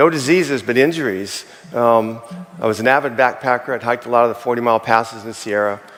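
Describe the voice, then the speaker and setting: Someone talks at a fairly quick pace while noticeable background noise plays behind them. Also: man. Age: 60s. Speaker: chimney sweep sharing product testimonial. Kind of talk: testimony. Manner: animated.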